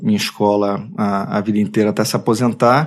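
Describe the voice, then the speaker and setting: A man with a Rio de Janeiro accent, talking at a moderate pace. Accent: Carioca Brazilian Portuguese. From Brazil, Rio de Janeiro (Tijuca). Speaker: advertising creative director. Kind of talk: casual interview. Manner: halting, many repetitions.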